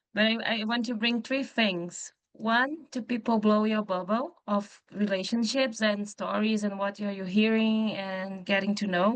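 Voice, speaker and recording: In a Portuguese accent, a woman with a fairly high pitch talks fairly slowly with fairly even intonation and hardly any pauses. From Brazil. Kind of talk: panel discussion.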